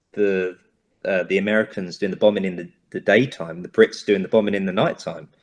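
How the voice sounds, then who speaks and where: With a London accent and fairly even intonation, a man with a fairly low pitch talks against a quiet background. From Southeast London. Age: 20s. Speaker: actor. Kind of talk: interview. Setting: video call.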